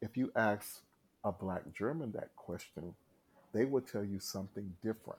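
Talking with an American accent, a man has an unremarkable speaking voice, a fairly low pitch, ordinary pitch variation and a moderate pace. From North Carolina, US South. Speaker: singer and live performer. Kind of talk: casual interview.

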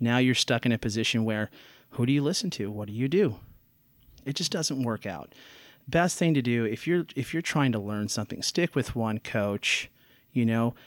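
A man talks at a moderate pace and medium pitch with lively intonation. The sound is dry and close with no echo, with a very clean recording and silent background. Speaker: tennis coach and podcast host. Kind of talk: casual solo monologue. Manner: unscripted, many filler words.

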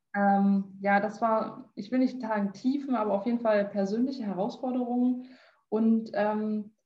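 A woman's voice, medium in pitch, sounds somewhat breathy with a dark, mellow tone. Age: 20s. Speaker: health management entrepreneur. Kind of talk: interview.

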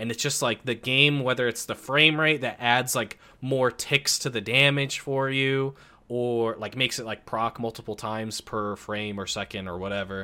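With a Midwestern US accent, a man speaks at medium pitch and a moderate pace, his tone bright and sharp, his pitch variation ordinary. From US Midwest. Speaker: podcast guest. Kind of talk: casual chat.

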